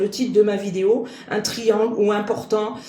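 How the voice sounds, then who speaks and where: A woman speaks with a fairly high pitch. Audible room echo and noticeable background noise are present. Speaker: medium and card reader. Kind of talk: spiritual guidance monologue. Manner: sharp, clipped.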